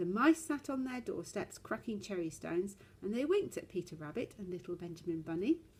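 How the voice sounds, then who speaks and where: Somewhat breathy, a woman with a medium pitch talks at a fairly quick pace with very wide pitch swings. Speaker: storyteller. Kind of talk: children's story reading.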